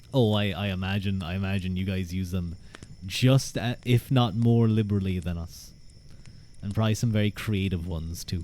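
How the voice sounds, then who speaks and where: A man's fairly low voice with a dark, mellow tone. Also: moderate pace. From Ireland. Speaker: streamer. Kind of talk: live stream chat. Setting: live stream. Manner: animated; halting, repeats words.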